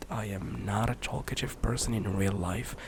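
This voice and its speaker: A soft-spoken man talks at a moderate pace. Noticeable background noise is present. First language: Arabic. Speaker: ASMR youtuber, former streamer. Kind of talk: soft-spoken ramble. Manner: halting.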